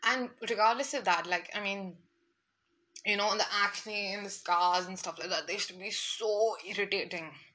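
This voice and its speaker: A woman's bright, sharp, animated voice at medium pitch. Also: moderate pace. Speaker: lifestyle podcaster. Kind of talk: casual monologue.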